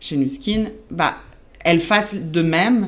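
Speaking with a Spanish accent, a woman has a fairly low pitch. Her pitch variation is ordinary. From Belgium, born in Argentina. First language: Spanish (speaking French). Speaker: account manager. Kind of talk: casual interview.

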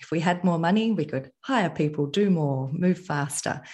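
Somewhat breathy, lively intonation at a moderate pace, with an Australian accent and a quiet background. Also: woman. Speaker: entrepreneur. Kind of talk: interview.

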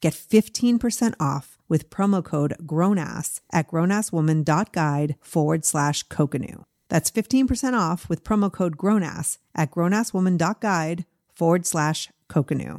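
Recorded dry and close with no echo, a woman with an unremarkable speaking voice talks fairly slowly at a fairly low pitch, with ordinary pitch variation and very even loudness. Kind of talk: guided meditation.

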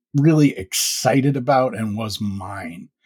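Lively in intonation and somewhat breathy, a man at a medium pitch comes through with a dry, close sound with no echo. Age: 50s. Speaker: sleep story podcaster. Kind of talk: casual interview chat. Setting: video call.

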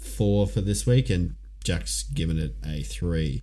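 With an Australian accent, a man speaks at a fairly slow pace, his pitch swinging very widely. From Ipswich, Queensland, Australia. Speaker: podcast co-host. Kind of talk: casual chat.

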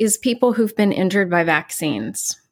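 A woman speaks with an American accent in a normal speaking voice. Her medium pitch varies in an ordinary way on a very clean recording with a silent background. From West Virginia. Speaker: psychotherapist. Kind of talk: interview.

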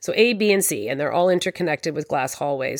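A woman with a fairly low pitch and a normal speaking voice uses lively intonation. The recording is very clean, with a silent background. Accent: Canadian. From Canada. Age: 40s. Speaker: podcast host, interior designer. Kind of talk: solo podcast monologue.

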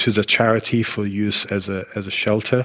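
The man's fairly low voice stays monotone and flat, with a dry, close sound and no echo. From Israel. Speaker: architect. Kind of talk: interview. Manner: halting.

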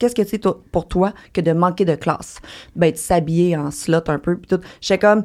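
A woman with a plain, everyday voice speaks fairly slowly at a fairly low pitch, with ordinary pitch variation and big swings in loudness. The recording is very clean, with a silent background. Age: 30s. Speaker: online content creator. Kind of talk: casual chat.

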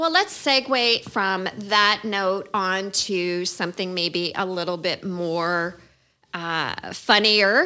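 A bright, sharp voice speaks very slowly with ordinary pitch variation on a very clean recording with a silent background. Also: woman, medium pitch for a woman. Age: 50s. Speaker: podcast co-host, real estate agent. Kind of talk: casual chat.

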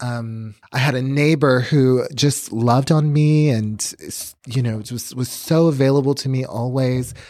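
A man with an American accent and a normal speaking voice talks at a fairly slow pace with hardly any pauses, fairly even intonation and medium pitch on a very clean recording with a silent background. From Chicago, then South Texas (McAllen). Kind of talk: testimony.

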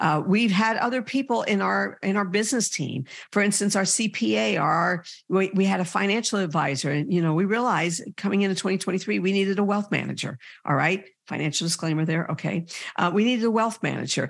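With a quiet background, the talking proceeds at a fairly quick clip. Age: 60s. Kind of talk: sermon-like podcast talk. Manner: warm, encouraging.

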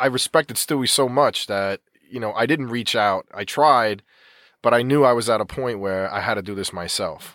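A man's medium-pitched voice with an American accent at a moderate pace. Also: ordinary pitch variation, dry, close sound with no echo. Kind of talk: casual chat. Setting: studio.

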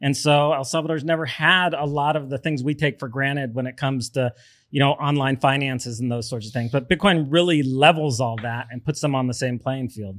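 A man speaks with a plain, everyday voice at a fairly quick pace. His pitch is fairly high, and the recording is very clean with a silent background. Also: ordinary pitch variation. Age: 50s. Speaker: podcast host. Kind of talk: interview. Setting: studio.

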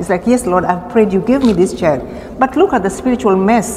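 Noticeable background noise surrounds a woman's voice. She talks at a fairly quick pace with ordinary pitch variation. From Kenya. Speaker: seminary intern preacher. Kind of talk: sermon. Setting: church.

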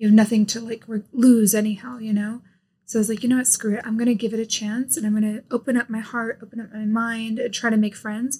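A woman with an American accent, fairly high in pitch, somewhat breathy and dark, mellow in tone, at a very fast pace with monotone, flat intonation. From US. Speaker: YouTuber. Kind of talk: casual chat.

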